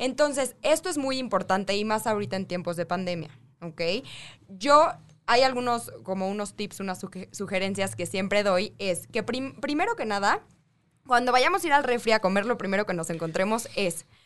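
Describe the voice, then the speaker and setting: A woman has a normal speaking voice at medium pitch. She talks at a moderate pace with lively intonation. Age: 20s. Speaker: nutritionist. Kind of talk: radio interview.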